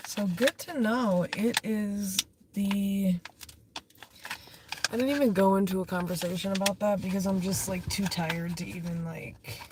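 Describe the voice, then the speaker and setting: With ordinary pitch variation and long, frequent pauses, a woman talks over noticeable background noise. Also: medium pitch for a woman, moderate pace. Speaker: livestreamer. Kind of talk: casual chat. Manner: rambling, halting.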